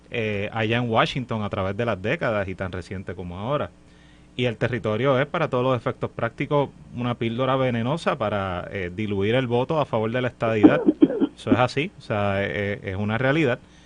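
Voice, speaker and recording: The speech moves at a fairly quick pace with ordinary pitch variation. There is noticeable background noise. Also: man, medium pitch for a man. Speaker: political panelist. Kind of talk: political panel discussion. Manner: hesitant with fillers.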